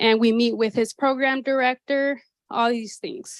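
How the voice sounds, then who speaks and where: A woman's fairly high voice at a moderate pace, fairly even in intonation, with a dry, close sound with no echo and a quiet background. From San Jose, California, US. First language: Spanish. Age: 30s. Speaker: activity coordinator at assisted living. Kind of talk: personal life talk to an audience.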